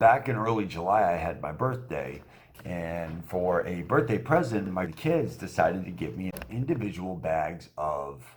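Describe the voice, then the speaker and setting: A man with an American accent, a very deep, low pitch, very wide pitch swings, and a fairly slow pace. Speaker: voice actor and motivational speaker; quadriplegic man with a spinal cord injury. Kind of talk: casual motivational talk to camera. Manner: upbeat, sincere, conversational.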